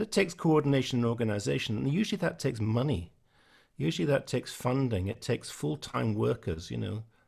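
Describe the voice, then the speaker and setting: A man speaks at a very fast pace in a medium, somewhat breathy voice. His pitch swings very widely. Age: 60s. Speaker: musician. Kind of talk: online panel discussion.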